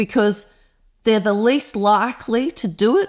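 In a very clean recording with a silent background, a woman with an Australian accent speaks with lively intonation. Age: 50s. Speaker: environmental campaigner. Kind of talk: interview.

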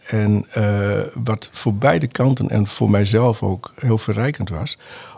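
A man's somewhat breathy, dark, mellow voice, fairly low in pitch, with ordinary pitch variation and a very slow pace. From northern Netherlands, Groningen. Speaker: NLP trainer and coach. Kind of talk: interview conversation. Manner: halting with many fillers.

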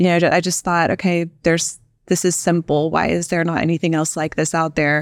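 A woman with an American accent speaks at a fairly quick pace in a fairly low, monotone voice. Her loudness stays very even, and the recording is very clean with a silent background. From Texas Panhandle. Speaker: startup founder and CEO. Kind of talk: interview.

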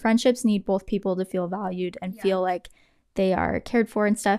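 On a very clean recording with a silent background, the sound is dry and close with no echo. A woman of medium pitch speaks at a moderate pace in an ordinary speaking voice. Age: 20s. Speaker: podcast host. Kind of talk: casual chat.

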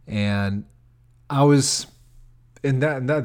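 A man with an American accent speaks at a medium pitch with lively intonation and an animated tone, on a very clean recording with a silent background. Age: 30s. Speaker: comedian and podcast host. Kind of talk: casual solo podcast monologue. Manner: animated, casual with filler words.

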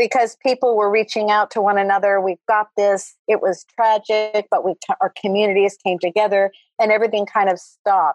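A woman with an American accent has an ordinary speaking voice at a medium pitch and a moderate pace. Her fairly even intonation and very even loudness come through in a dry, close sound with no echo. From US West Coast, Los Angeles San Fernando Valley. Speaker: interior designer. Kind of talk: casual interview.

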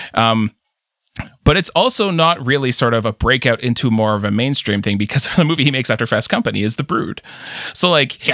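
A bright, sharp voice moves at a fairly quick pace with lively intonation, in a dry, close sound with no echo. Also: man, medium pitch for a man. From Canada. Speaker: podcast host. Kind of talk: casual chat.

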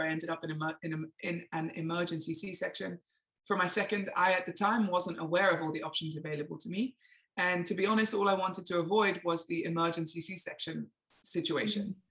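A woman with an English accent, fairly low pitch, fairly even intonation and a fairly quick pace. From England. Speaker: emotional awareness coach. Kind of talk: interview.

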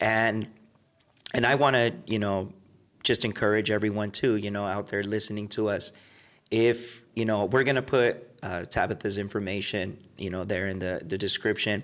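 This man has an unremarkable speaking voice, fairly low in pitch, with fairly even intonation at a moderate pace. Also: very clean recording, silent background. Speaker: podcast host. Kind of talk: casual interview chat.

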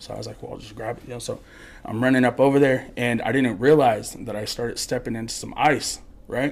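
A man's medium-pitched, creaky voice with vocal fry, ordinary pitch variation and a fairly quick pace. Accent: American. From Colorado (Morgan area). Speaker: podcast guest storyteller. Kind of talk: casual storytelling.

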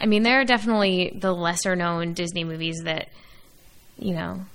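A woman with an ordinary speaking voice talks at a moderate pace, her fairly low pitch showing ordinary pitch variation. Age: 20s. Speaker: podcast co-host. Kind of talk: casual chat.

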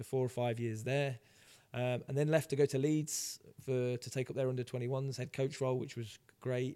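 A man speaks at a fairly quick pace in a dark, mellow tone of medium pitch with monotone, flat intonation. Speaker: football head coach. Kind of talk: casual interview.

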